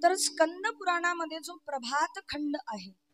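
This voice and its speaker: This woman's voice sounds dry and close, with no echo. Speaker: kirtan preacher. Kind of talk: devotional kirtan discourse.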